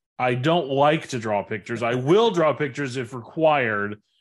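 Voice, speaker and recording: At a moderate pace and medium pitch, a man talks in an animated tone with ordinary pitch variation over a quiet background. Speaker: biology professor. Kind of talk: casual interview. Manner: outgoing, animated.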